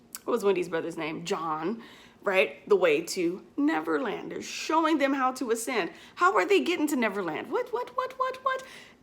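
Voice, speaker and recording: A woman at a moderate pace, with very wide pitch swings and noticeable background noise. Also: fairly high pitch for a woman. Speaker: spiritual vlogger. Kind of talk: casual monologue.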